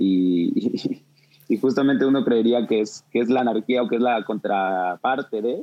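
A man speaks at a medium pitch with a Mexico City accent. His pitch varies in an ordinary way, and his pace is fairly slow. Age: 20s. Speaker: music producer. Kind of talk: casual chat. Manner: halting, many repetitions.

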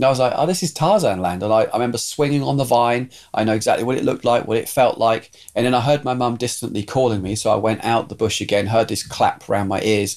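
This man talks at a very fast pace. His pitch is medium, with ordinary variation. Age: 50s. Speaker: pastor. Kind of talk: testimony.

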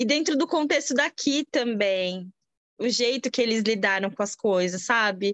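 A woman speaks at a fairly high pitch with lively intonation. Her loudness stays very even, and the sound is dry and close with no echo. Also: fairly slow pace. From Brazil. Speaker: immigrant mother. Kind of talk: casual interview chat. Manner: halting.

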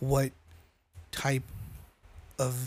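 A man speaks at a medium pitch with a somewhat breathy quality. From New Mexico. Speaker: podcast co-host. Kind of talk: casual chat.

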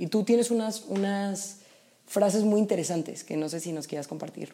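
Her tone is dark and mellow. The woman speaks at a moderate pace with ordinary pitch variation. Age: 20s. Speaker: podcast co-host, university student. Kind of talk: casual chat.

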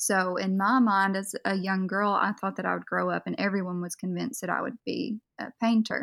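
A woman talks in an ordinary speaking voice at medium pitch. Her pace is fairly quick, with hardly any pauses and fairly even intonation. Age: 20s. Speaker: makeup artist. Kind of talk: casual interview. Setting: voice call.

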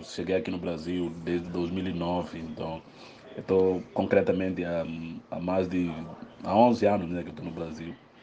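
This man's voice is very deep and low in pitch. He talks at a fairly slow pace. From Guinea-Bissau. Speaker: psychologist and researcher. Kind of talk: recorded interview answer. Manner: halting, repetitive.

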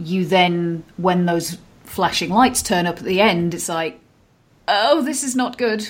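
A woman's normal speaking voice, medium in pitch, with lively intonation and a fairly slow pace. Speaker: film podcast co-host. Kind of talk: casual chat.

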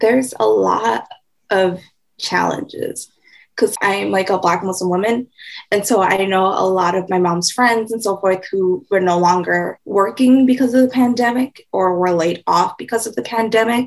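This woman has a normal speaking voice with an American accent, a medium pitch, ordinary pitch variation and a moderate pace. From Mankato, Minnesota. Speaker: community organizer. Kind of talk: interview.

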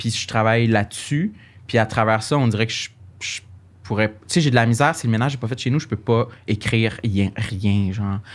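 Man at a medium pitch and moderate pace, very clean recording, silent background. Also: fairly even intonation. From Quebec, Gaspésie. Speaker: comedian. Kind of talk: casual chat.

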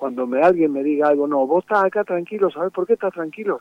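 A man's high voice moves with lively intonation. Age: 70s. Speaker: folk singer-songwriter. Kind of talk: interview. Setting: phone call. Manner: halting.

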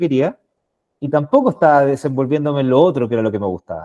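The voice belongs to a man and has a dark, mellow quality. No echo colors it, and the sound is dry and near. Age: 30s. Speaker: sales manager. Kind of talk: casual interview.

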